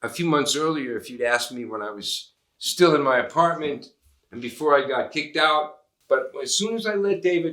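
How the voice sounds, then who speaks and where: Using a normal speaking voice, a man speaks at a moderate pace with lively intonation. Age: 60s. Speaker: painter. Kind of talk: documentary interview and casual narration.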